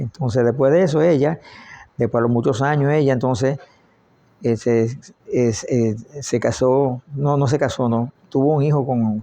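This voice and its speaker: With long, frequent pauses, a man speaks at medium pitch. His tone is dark and mellow, and his intonation fairly even. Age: 80s+. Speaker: family elder recounting life story. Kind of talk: oral history interview. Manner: halting, repeats words.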